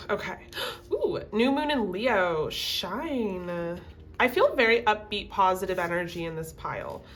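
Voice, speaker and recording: Noticeable background noise beneath a lively intonation. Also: woman. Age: 20s. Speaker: tarot reader. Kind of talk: casual talk to camera.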